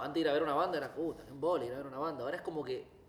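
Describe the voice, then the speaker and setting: A man speaks with a fairly high pitch. Noticeable background noise sits behind him. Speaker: singer and guitarist. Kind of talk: casual interview. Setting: recording venue.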